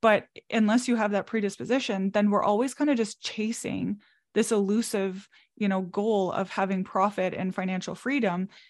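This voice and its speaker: With a Canadian accent, a woman uses an ordinary speaking voice at a medium pitch, with fairly even intonation and a moderate pace against a quiet background. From Canada, Manitoba (Brandon). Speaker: entrepreneur. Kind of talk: casual chat.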